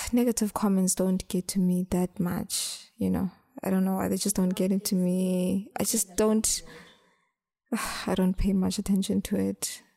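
A woman's somewhat breathy voice, dark and mellow, holds a very even loudness and a monotone, flat intonation. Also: medium pitch for a woman, moderate pace, dry, close sound with no echo. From Eswatini. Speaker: pageant contestant. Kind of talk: interview. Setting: studio.

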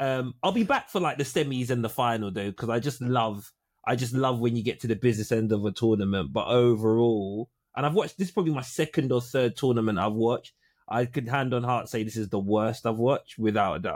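A man at medium pitch with a London accent, fairly quick in pace, with ordinary pitch variation, on a very clean recording with a silent background. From Caribbean heritage, UK. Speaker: sports podcast co-host. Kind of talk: casual chat.

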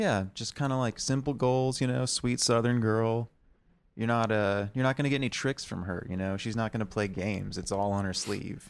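An American accent at a moderate pace with ordinary pitch variation, in a very clean recording with a silent background. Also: man, medium pitch for a man. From Texas (Austin). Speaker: podcast co-host. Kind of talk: casual chat. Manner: quiet, subdued.

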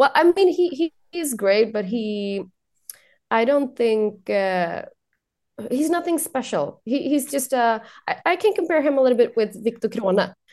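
A woman speaks at a moderate pace in a Swedish accent, with very wide pitch swings. The background is quiet. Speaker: journalist. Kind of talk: casual chat.

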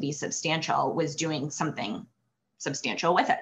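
A woman with a normal speaking voice and an American accent talks at a moderate pace, her pitch fairly low. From US Northeast, Boston area. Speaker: author and witch, community co-founder. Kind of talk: casual interview chat. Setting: video call.

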